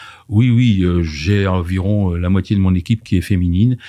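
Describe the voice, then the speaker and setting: A man's very deep, low voice with a dark, mellow tone, fairly even intonation and a moderate pace, on a very clean recording with a silent background. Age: 50s. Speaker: diversity and inclusion consultant. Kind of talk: podcast interview.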